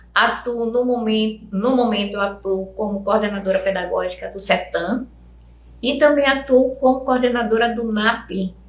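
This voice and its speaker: Over audible room echo, a woman speaks at a moderate pace in a fairly high pitch with fairly even intonation. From Brazil, Amazonas (Parintins), schooled in Fortaleza. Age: 60s. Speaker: educator. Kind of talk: interview.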